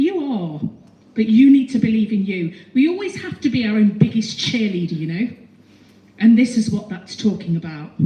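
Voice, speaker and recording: A woman with a fairly high pitch speaks in an animated tone at a moderate pace, with noticeable background noise. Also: lively intonation. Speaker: psychic medium. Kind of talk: live audience mediumship demonstration. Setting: stage with audience in a hall.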